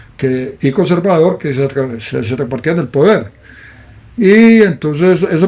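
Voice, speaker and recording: The man's voice sits at a fairly high pitch and has a dark, mellow tone. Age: 70s. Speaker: photographer. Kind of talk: interview.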